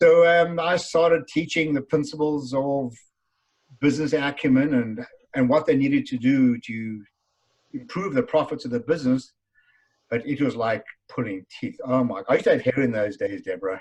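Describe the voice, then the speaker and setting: Speaking in a South African accent, a man with a fairly high pitch talks at a moderate pace with ordinary pitch variation. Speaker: business author and speaker. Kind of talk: interview.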